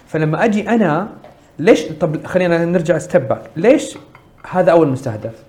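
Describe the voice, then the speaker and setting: Noticeable background noise sits behind a man with a high voice. He speaks at a fairly slow pace with very wide pitch swings. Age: 30s. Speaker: social entrepreneur. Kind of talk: interview.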